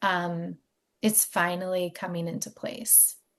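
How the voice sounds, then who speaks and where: Someone speaks in an American accent against a quiet background. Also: woman. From US Mid-Atlantic, Maryland near DC. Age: 40s. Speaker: podcast host. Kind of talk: interview, personal storytelling.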